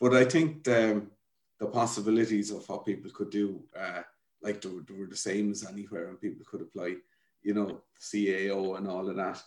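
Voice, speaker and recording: Big swings in loudness mark this man's speech, which is in a Wexford Irish accent, fairly low in pitch, with ordinary pitch variation. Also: moderate pace. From Ireland, rural County Wexford. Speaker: community development founder. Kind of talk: interview. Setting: at home.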